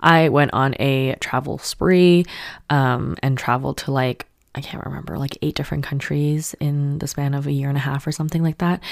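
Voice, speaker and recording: Speaking with a Canadian accent at a moderate pace, a woman uses a very deep, low pitch and fairly even intonation. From Canada. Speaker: podcast host. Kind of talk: casual personal monologue. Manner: casual, with many fillers.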